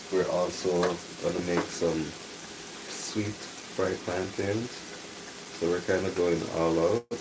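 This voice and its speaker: Soft-spoken and monotone with flat intonation, a man speaks at a very deep, low pitch and a very slow pace with long, frequent pauses, amid audible room echo and noticeable background noise. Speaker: home cook livestreaming. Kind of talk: casual cooking livestream. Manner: soft-spoken, talking low.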